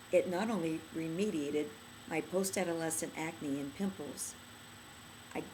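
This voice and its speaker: A woman's fairly low voice at a moderate pace, fairly even in intonation, with audible room echo. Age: 60s. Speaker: skincare product inventor. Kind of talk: product demonstration tutorial.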